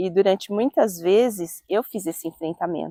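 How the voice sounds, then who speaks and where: An ordinary speaking voice moves at a moderate pace with ordinary pitch variation, recorded dry and close with no echo. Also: woman. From Brazil, Jundiaí (São Paulo state). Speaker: interviewee in documentary. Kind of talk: documentary testimony.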